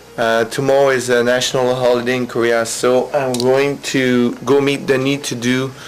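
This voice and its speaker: With a French accent, a man speaks at a fairly slow pace in a medium pitch. His intonation is monotone and flat, and there is noticeable background noise. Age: 30s. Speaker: vlogger, English teacher. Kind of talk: video diary. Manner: hesitant, many fillers.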